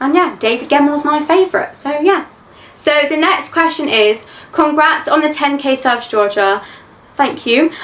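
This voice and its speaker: An English accent at a moderate pace, with ordinary pitch variation. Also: woman, high pitch for a woman. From England. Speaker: YouTube reaction creator. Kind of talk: Q&A chat. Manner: says like a lot.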